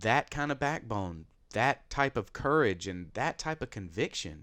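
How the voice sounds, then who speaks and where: In a Southern US accent, a man talks at medium pitch and a moderate pace in an animated tone. His very wide pitch swings stand out on a very clean recording with a silent background. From US South. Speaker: podcast host. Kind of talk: casual chat.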